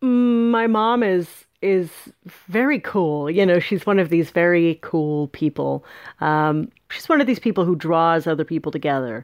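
With an American accent and an unremarkable speaking voice, a woman of fairly low pitch speaks at a fairly slow pace with lively intonation and very even loudness. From northern California. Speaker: author. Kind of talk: interview.

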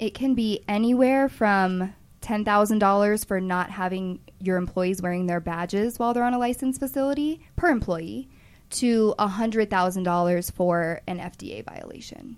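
Here a woman has an ordinary speaking voice, medium in pitch with ordinary pitch variation, moving at a moderate pace. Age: 20s. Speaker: cannabis compliance consultant. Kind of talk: interview.

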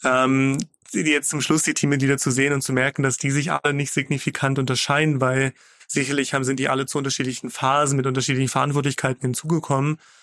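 A man talks very fast at a fairly high pitch. His intonation is flat and monotone, and his loudness very even. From Magdeburg, eastern Germany. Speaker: startup founder and CEO. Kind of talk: interview. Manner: frequent filler sounds.

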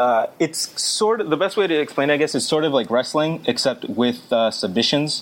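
With an American accent and an unremarkable speaking voice, a man talks at a moderate pace and fairly high pitch, his intonation lively, his loudness very even, and hardly any pauses in his speech. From Massachusetts. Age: 20s. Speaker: litigant in podcast case. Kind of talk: casual chat.

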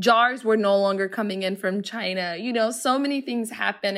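A woman with an American accent speaks in a plain, everyday voice, fairly high in pitch and at a moderate pace. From Somalia, raised largely in US (Seattle). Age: 30s. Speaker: entrepreneur and cookbook author. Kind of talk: interview conversation.

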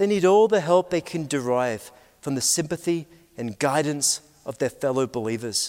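In a very clean recording with a silent background, a man with a British accent speaks with lively intonation. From Scotland, Aberdeen. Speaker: pastor. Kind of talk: conference talk. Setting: stage with audience.

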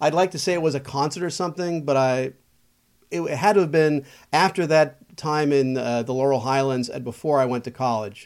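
This man has an unremarkable speaking voice, fairly high in pitch for a man, with ordinary pitch variation and a fairly quick pace, recorded very cleanly against a silent background. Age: 50s. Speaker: local politician and former radio DJ. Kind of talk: casual chat.

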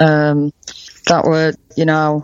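A woman speaks with a northern English accent. Her pitch is very deep and low. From UK. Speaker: cancer survivor. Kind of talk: interview testimony. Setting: remote call. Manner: halting.

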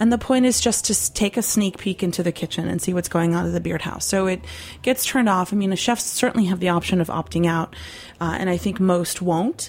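This woman talks at a fairly quick pace in a medium pitch. Her voice is somewhat breathy, with ordinary pitch variation. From Poland. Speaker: industry professional. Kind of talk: casual interview chat. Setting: studio.

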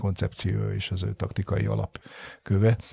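Over a very clean, silent background, a man speaks very fast in a very deep, low, somewhat breathy voice with a dark, mellow tone, the sound dry and close with no echo. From Hungary. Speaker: football coach. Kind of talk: interview. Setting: studio. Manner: halting.

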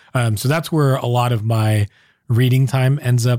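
In a Californian accent, the speaker uses fairly even intonation on a very clean recording with a silent background. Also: man. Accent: General American (Californian). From US, Southern California. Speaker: startup founder and advisor. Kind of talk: interview conversation.

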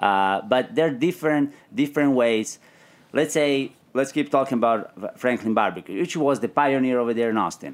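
A man with an Italian accent speaks at a medium pitch and a moderate pace, with ordinary pitch variation. The recording is very clean, with a silent background. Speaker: barbecue pitmaster and restaurant owner. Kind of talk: casual chat. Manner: halting, repeats words.

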